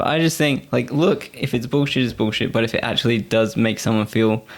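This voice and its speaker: A man speaks at medium pitch with vocal fry. His pace is fairly quick and his pitch variation ordinary. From Australia, Gold Coast (moved from England at five). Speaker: podcast guest. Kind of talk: casual chat.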